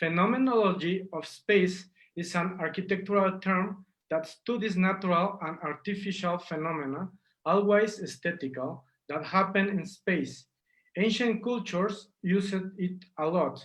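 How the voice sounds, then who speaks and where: A man with a Spanish accent, high-pitched, at a moderate pace and with fairly even intonation. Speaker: street artist. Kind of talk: interview.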